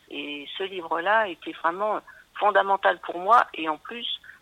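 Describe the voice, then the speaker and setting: Speaking at a fairly slow pace, a woman with a fairly low pitch uses ordinary pitch variation in an ordinary speaking voice. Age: 60s. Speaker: nursery school teacher. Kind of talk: recorded testimony.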